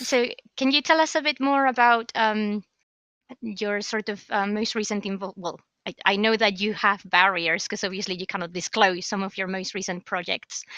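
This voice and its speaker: Her voice has a bright, sharp tone and fairly high pitch, with ordinary pitch variation at a moderate pace. The woman's recording is dry and close, with no echo. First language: not English. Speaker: podcast co-host. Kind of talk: casual podcast chat. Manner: hesitant with many fillers.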